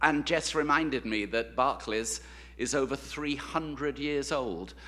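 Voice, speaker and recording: With a bright, sharp tone and vocal fry, this voice moves at a fairly slow pace with ordinary pitch variation on a very clean recording with a silent background. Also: man, fairly high pitch for a man. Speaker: university president. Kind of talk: ceremonial speech. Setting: stage with audience. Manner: halting.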